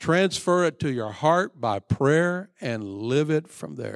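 His pitch fairly high, a man talks with very wide pitch swings. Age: 70s. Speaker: pastor. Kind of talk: sermon. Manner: halting.

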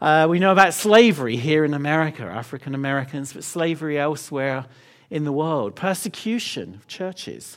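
A man's fairly high voice with an English accent, fairly quick pace, lively intonation and big swings in loudness. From London, England. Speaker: missions leader. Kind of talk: sermon. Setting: church.

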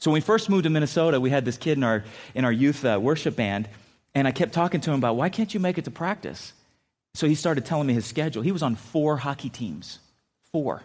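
A man with an American accent talks at a very fast pace, his fairly high voice carrying lively intonation. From San Diego, California. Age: 50s. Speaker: pastor. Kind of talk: sermon. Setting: church.

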